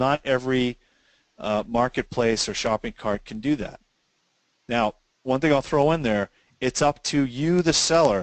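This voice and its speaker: Ordinary pitch variation and a moderate pace come through in a dry, close sound with no echo. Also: man. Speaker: sales tax software company owner. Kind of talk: webinar presentation. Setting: online webinar.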